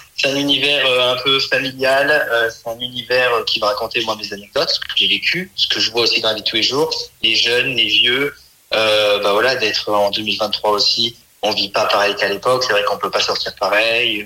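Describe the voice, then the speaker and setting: Moderate-paced male speech over noticeable background noise. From France, Saint-Étienne. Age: 20s. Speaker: comedian. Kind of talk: interview.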